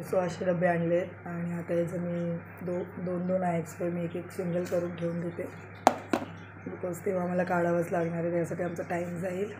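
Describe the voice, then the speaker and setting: Over noticeable background noise and audible room echo, a woman speaks in a fairly low, monotone voice with flat intonation. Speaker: vlogger, mother. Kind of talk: casual vlog.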